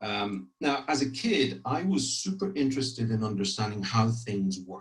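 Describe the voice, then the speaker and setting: A man's somewhat breathy, medium-pitched voice, fairly slow, with lively intonation. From Ireland, grew up partly in France. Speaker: corporate public affairs executive. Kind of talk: career talk to trainees. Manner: frequent hesitations and repetitions.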